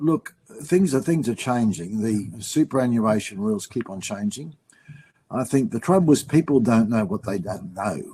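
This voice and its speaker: Lively intonation and a medium pitch from a man speaking at a moderate pace. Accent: Australian. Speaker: finance writer. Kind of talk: webinar panel discussion.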